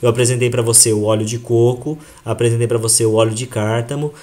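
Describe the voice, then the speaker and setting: A man talks at a moderate pace and a medium pitch. The voice is somewhat breathy. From Brazil (Japanese-Brazilian). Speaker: health product presenter. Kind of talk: sales presentation to audience. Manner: animated.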